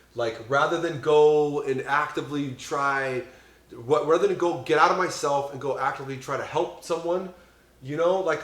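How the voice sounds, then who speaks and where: Over noticeable background noise and audible room echo, a man with a fairly high pitch talks at a moderate pace with fairly even intonation. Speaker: podcast host in addiction recovery. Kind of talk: casual chat. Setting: on a couch at a friend's home. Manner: loud; halting, many fillers and restarts.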